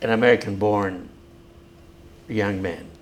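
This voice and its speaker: Flat, monotone intonation comes through with audible room echo. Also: man. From Crete, Greece. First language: Greek. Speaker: civil engineer and community leader. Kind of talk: oral history interview. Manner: halting, repeats words.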